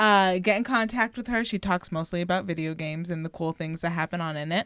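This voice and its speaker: In a Philadelphia accent, a woman talks at a very fast pace with a fairly low pitch, an animated tone and ordinary pitch variation, in a dry, close sound with no echo. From Philadelphia area, US. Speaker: podcast co-host. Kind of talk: casual chat.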